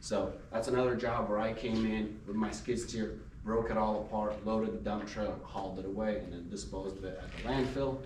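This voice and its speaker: A fairly low-pitched man speaks at a fairly quick pace with hardly any pauses and fairly even intonation. Noticeable background noise and audible room echo come through. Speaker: small business owner, junk removal and hauling. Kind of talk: business presentation to a networking group. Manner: fast; unscripted, free speaking.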